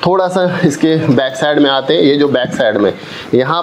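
The speech moves at a moderate pace with ordinary pitch variation. Background noise is noticeable. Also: man. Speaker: product reviewer. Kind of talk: unboxing demo.

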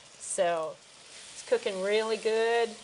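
A woman is speaking over light background noise. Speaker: cooking show host. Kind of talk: tutorial. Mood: warm, relaxed. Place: kitchen. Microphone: lapel.

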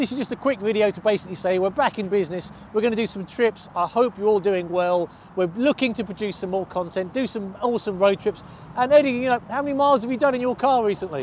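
A man speaks very fast in a high pitch with ordinary pitch variation. The sound is dry with no echo, with light background noise. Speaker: car vlogger. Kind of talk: casual vlog chat. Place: street. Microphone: lapel.

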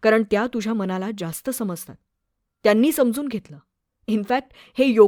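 In a natural voice with ordinary pitch variation, someone reads aloud while the background stays quiet.

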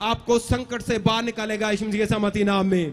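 A man speaks in an animated tone. He keeps a fairly slow pace. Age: 40s. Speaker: pastor; preacher. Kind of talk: sermon. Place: tent. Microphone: handheld.

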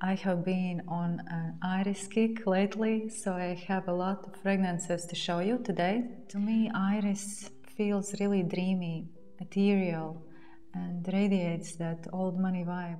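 Over faint music in the background, a soft-spoken woman talks in a calm tone at a fairly slow pace, her intonation monotone and flat. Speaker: fragrance reviewer. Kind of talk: perfume review talking to camera. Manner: soft-spoken, calm. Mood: warm, relaxed. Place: home room.

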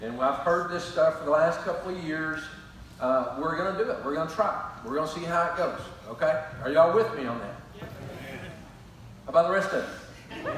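Strong room echo and light background noise surround a man speaking at a fairly quick pace. His loudness swings a lot, while his pitch varies in an ordinary way. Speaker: pastor. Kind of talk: sermon announcements to the congregation. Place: church.

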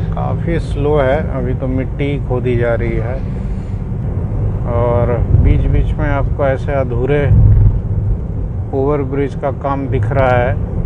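A man talks at a very slow pace with long, frequent pauses. The sound is dry with no echo, but loud background noise is present. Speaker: family travel vlogger. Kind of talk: casual travel commentary. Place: car. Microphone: lapel.

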